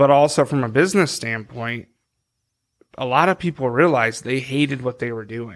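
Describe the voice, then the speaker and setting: In a very clean recording with a silent background, a man with an unremarkable speaking voice talks at a moderate pace, his pitch medium and its variation ordinary. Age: 30s. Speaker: podcast co-host. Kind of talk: casual chat.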